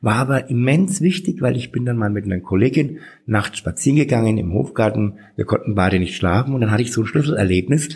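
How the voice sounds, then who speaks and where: A man talks at a very fast pace with hardly any pauses, at a medium pitch. His voice is somewhat breathy, with lively intonation. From Franconia, Bad Windsheim. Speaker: drag queen and city councillor. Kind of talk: interview.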